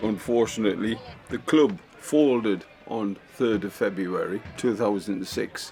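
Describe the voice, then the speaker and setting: Over music in the background, a man speaks fairly slowly at a medium pitch with fairly even intonation. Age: 70s. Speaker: football club official. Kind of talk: documentary interview.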